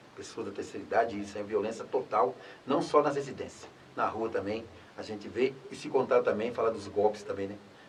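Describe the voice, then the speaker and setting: A man's fairly quick speech swings widely in loudness as noticeable background noise persists. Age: 60s. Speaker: former public official. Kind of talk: interview.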